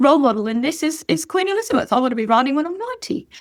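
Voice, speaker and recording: Speaking at a very fast pace, a woman uses a high pitch and an Australian accent. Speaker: horse breeder and rider. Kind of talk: casual chat.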